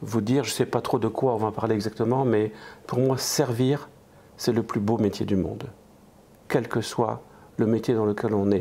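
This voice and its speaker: Speaking at a fairly slow pace, a man with a fairly low pitch and a dark, mellow tone keeps his intonation fairly even. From eastern France. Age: 60s. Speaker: restaurant franchise owner and entrepreneur. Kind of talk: interview.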